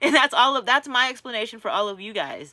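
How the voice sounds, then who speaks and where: In a very clean recording with a silent background, a woman speaks in a raised, projected voice, high-pitched, bright and sharp, with an animated tone. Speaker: vlogger. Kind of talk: casual monologue.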